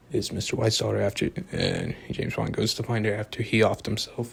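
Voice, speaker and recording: Soft-spoken and fairly low-pitched, a man talks at a fairly quick pace with vocal fry and fairly even intonation. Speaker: amateur movie reviewer. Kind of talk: casual video monologue. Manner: rambling with fillers.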